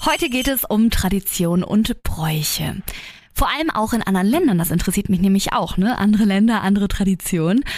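The speech moves at a fairly quick pace with lively intonation and an animated tone. Noticeable background noise is present. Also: woman. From Germany. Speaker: podcast host. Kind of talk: casual chat; reading aloud.

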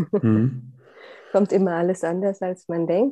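Moderately paced, an unremarkable speaking voice from a woman with a fairly low pitch. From Saxony, Upper Lusatia (eastern Germany). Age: 40s. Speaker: process consultant and coach. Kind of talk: personal interview about grief.

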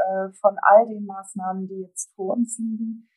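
A woman's somewhat breathy, dark, mellow voice at medium pitch, very slow and monotone with flat intonation. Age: 50s. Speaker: transport industry association executive. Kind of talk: interview. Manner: hesitant, many filler sounds.

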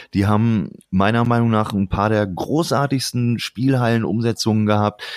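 On a very clean recording with a silent background and a dry, close sound without echo, a man speaks at medium pitch with fairly even intonation. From Lower Saxony, Germany. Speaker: former games magazine editor. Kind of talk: casual chat. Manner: relaxed.

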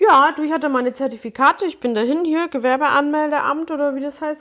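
This woman has a high pitch with ordinary variation. Her pace is fairly quick. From Munich (Neuperlach). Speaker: hairdresser and make-up artist, podcast co-host. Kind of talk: casual chat.

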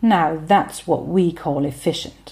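The woman's speech moves at a fairly slow pace. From Germany. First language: German. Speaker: podcaster, language and culture commentator. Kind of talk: scripted narration.

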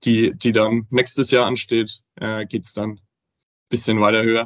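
A man speaks at a moderate pace. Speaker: affiliate manager. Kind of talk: casual interview.

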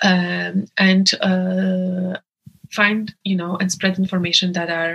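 A woman speaks at a very slow pace in a Polish accent. Her medium pitch stays monotone, with flat intonation. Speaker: abortion rights activist. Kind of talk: interview. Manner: hesitant with many fillers.

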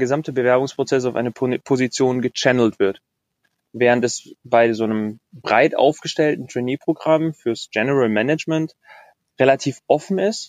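This man has an unremarkable speaking voice at a medium pitch with ordinary pitch variation. The sound is dry and close, with no echo. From Bavaria, Germany. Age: 20s. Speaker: corporate intrapreneur. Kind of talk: interview.

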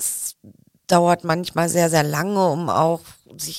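A woman's fairly low-pitched voice. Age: 50s. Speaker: head of a company service department. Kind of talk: interview.

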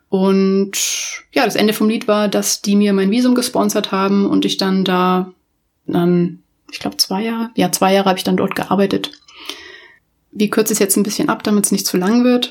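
In an ordinary speaking voice, a woman at medium pitch talks at a moderate pace with fairly even intonation. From Munich, Bavaria, Germany. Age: 30s. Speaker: podcast host, UX designer. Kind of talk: casual solo podcast monologue. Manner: informal, many filler words.

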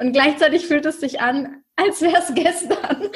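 This woman speaks at a moderate pace. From northern Germany, near Hamburg (Schleswig-Holstein). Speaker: online business mentor. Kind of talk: interview.

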